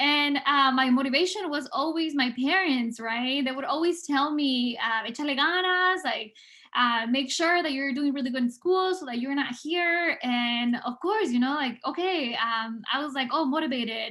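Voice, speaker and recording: A woman's raised, projected voice in a Spanish accent, high in pitch and bright and sharp in tone, at a moderate pace with hardly any pauses and ordinary pitch variation. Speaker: public health researcher. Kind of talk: prepared speech. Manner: hesitant, many fillers.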